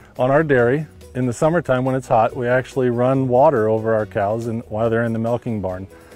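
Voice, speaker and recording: Faint music plays in the background as a man speaks at a fairly quick pace in a dry sound with no echo. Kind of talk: interview answer. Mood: friendly, smiling. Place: farm machine. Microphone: lapel.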